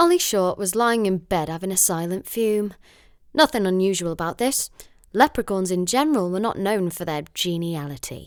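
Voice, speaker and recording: A woman's unremarkable speaking voice at medium pitch, moderate pace and lively intonation. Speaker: voice actor. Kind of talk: audiobook reading.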